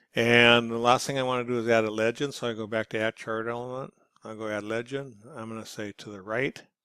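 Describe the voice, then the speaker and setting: A man's medium-pitched, bright, sharp voice, monotone and flat, at a fairly quick pace with big swings in loudness and a dry, close sound free of echo. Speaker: instructor. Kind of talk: tutorial. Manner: fast.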